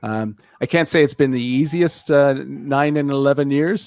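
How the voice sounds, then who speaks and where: A man speaks with a Canadian accent at a moderate pace. His intonation is fairly even. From Canada. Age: 60s. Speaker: internet radio founder. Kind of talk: interview. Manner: hesitant, many fillers.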